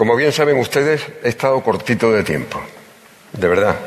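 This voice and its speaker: A man speaks at a medium pitch in a solemn tone, with ordinary pitch variation. Noticeable background noise sits behind him. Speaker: pregonero giving the Holy Week proclamation. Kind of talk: pregón oratory, solemn and emotional. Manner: formal, solemn, emotive, rhetorical and lyrical; nervous and emotional at first.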